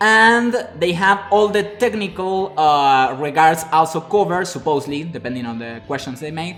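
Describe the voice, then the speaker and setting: Music in the background behind a man with a Spanish accent, high-pitched with lively intonation, big swings in loudness, a moderate pace and hardly any pauses. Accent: Spanish-speaking. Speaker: web developer and live streamer. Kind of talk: live stream talk. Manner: halting, many fillers.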